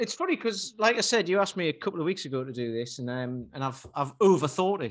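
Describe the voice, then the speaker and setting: A man with a Geordie accent at a fairly high pitch, very fast and with hardly any pauses, his pitch swinging very widely. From northern England, Newcastle. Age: 40s. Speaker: personal trainer. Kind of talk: casual chat.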